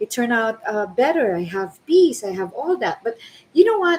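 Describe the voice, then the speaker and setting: A woman speaks over noticeable background noise. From Philippines. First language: non-English (Filipino). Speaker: lecturer and aspiring entrepreneur. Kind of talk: personal testimony on a livestream. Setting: Facebook live video. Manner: halting, many fillers.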